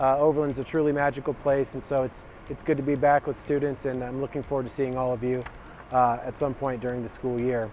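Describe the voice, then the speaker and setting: Over noticeable background noise, a speaker with an American accent goes at a very fast pace. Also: man. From Colorado. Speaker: athletic director. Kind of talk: recorded video address to families. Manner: casual with many fillers.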